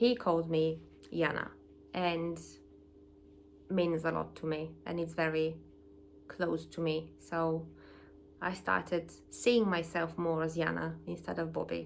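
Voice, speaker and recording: This woman speaks fairly slowly. The room echo is audible. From Eastern Europe. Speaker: vlogger. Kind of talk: personal vlog. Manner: halting.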